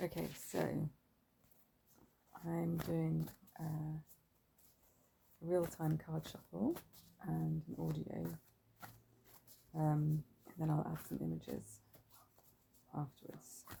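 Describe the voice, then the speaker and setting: A woman speaks at a very slow pace with long, frequent pauses. Her loudness swings widely. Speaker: tarot reader. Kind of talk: ASMR tarot reading. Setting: outdoors.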